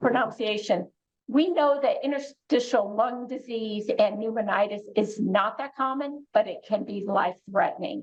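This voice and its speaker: At a moderate pace, a woman talks in an unremarkable speaking voice, fairly high in pitch and varying in an ordinary way. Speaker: oncology clinician. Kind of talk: educational presentation.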